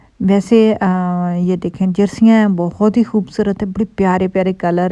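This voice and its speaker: Speaking in a monotone with flat intonation, a woman with a Punjabi accent has a dark, mellow tone at medium pitch. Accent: Punjabi-accented Urdu. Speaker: vlogger. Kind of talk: casual vlog talk. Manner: chatty, many fillers.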